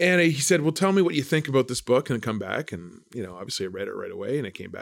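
Talking at a very fast pace with a Canadian accent, a man with a medium-pitched voice shows vocal fry and very wide pitch swings. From Canada, Brandon, Manitoba. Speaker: investment fund manager. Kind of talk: interview.

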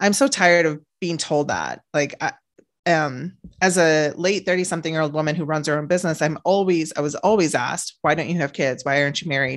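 Her pitch very deep and low with ordinary variation, a woman speaks at a fairly quick pace. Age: 30s. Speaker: author and business owner. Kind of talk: casual chat.

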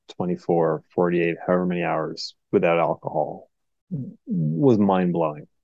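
In an American accent, the voice has a dark, mellow tone and a dry, close sound with no echo. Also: man. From Portland, Oregon. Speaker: guest in alcohol recovery. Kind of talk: casual chat.

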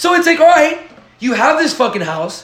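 Over noticeable background noise and audible room echo, a man speaks at a fairly quick pace in an animated tone with very wide pitch swings. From Dominican heritage. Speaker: podcast co-host. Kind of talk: casual chat.

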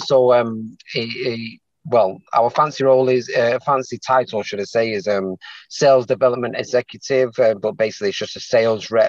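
A man's medium-pitched voice with a Mancunian accent, moderate pace and ordinary pitch variation. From Manchester, England. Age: 40s. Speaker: salesman, aspiring property investor. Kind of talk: consultation call. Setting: call. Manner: halting.

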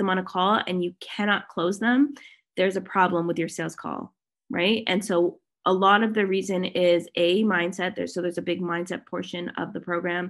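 A woman with a Canadian accent has a plain, everyday voice of medium pitch, speaking at a moderate pace with fairly even intonation against a quiet background. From Canada, Toronto. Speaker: digital marketing strategist and sales mentor. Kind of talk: podcast interview.

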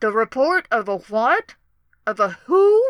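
The speaker's pitch swings very widely at a fairly slow pace, with a dry, close sound and no echo. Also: woman, high pitch for a woman. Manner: amused, cackling.

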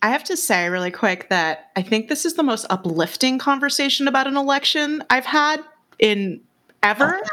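With an American accent, the voice is raised and projected, and its pitch swings very widely. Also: woman, high pitch for a woman, moderate pace. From US West Coast, San Francisco Bay Area. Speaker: podcast host. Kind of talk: casual interview chat.

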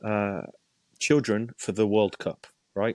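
Using an English accent, a man talks at a medium pitch and a fairly slow pace. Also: dry, close sound with no echo. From England. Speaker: youth soccer coaching director. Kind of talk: casual interview.

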